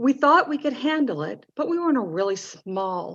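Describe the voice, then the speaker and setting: A woman with a Southern US accent, lively intonation and a moderate pace, against a quiet background. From North Carolina. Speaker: parent advocate. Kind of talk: mock lobbying meeting.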